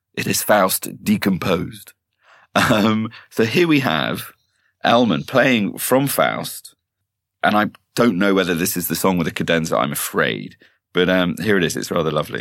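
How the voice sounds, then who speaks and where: A man at a fairly low pitch speaks at a moderate pace with vocal fry. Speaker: podcast co-host. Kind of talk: casual chat.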